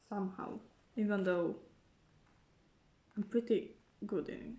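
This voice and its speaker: A woman's somewhat breathy, dark, mellow voice at medium pitch, with fairly even intonation and a moderate pace. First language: not English. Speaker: YouTuber, K-pop fan. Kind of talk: casual unboxing vlog. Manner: casual, with fillers and restarts.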